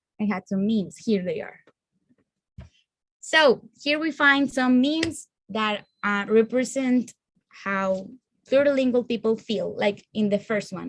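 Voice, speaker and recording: A woman with a Spanish accent speaks at a fairly high pitch with ordinary pitch variation. Her pace is fairly slow, with long, frequent pauses. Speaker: student presenter. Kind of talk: class presentation.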